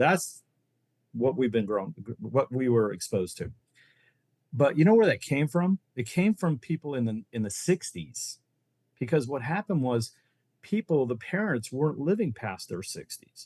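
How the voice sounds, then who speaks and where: Very wide pitch swings and long, frequent pauses mark this somewhat breathy voice, heard dry and close with no echo. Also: man, medium pitch for a man, moderate pace. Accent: American. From Ohio, US Midwest. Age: 60s. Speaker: reverse mortgage loan officer. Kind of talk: podcast interview. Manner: animated.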